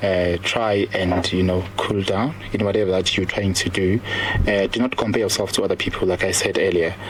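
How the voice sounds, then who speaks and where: A man's fairly low, fairly evenly intoned voice at very even loudness, over noticeable background noise. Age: 30s. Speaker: lecturer and former nurse, public speaker. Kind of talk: radio interview. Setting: radio studio. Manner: fast.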